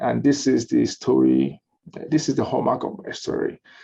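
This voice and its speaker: With a Nigerian accent, a man speaks at a moderate pace. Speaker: lawyer and law firm owner. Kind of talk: webinar interview. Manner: animated.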